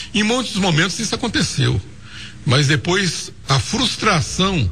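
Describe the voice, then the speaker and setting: Noticeable background noise runs behind a man speaking at a fairly slow pace. His pitch swings very widely. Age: 60s. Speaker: former mayor. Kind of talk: radio interview.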